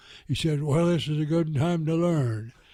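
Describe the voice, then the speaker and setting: A man's somewhat breathy voice of dark, mellow tone, fairly high pitch and ordinary pitch variation. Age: 80s+. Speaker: war veteran. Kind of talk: interview answer. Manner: hesitant, halting.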